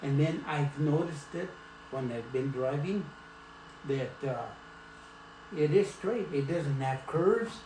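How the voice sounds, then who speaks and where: A man's fairly high voice in an American accent, fairly slow with long, frequent pauses, ordinary pitch variation, audible room echo and noticeable background noise. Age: 80s+. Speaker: grandfather interviewed by granddaughter. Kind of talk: casual family interview. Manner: hesitant, halting.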